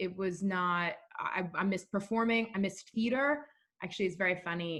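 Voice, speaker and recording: A woman with an American accent, an ordinary speaking voice, moving at a moderate pace with lively intonation. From New York City. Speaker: actress and songwriter. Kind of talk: casual chat.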